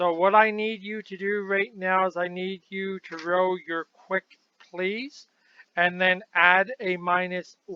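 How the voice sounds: A natural reading voice with fairly even intonation is heard against a quiet background.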